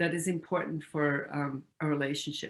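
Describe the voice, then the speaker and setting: A woman speaks with a German accent. Her pitch is very deep and low, and her pace is moderate. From Austria. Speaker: retired university staff and spiritual lecturer. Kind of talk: interview. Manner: halting, many fillers.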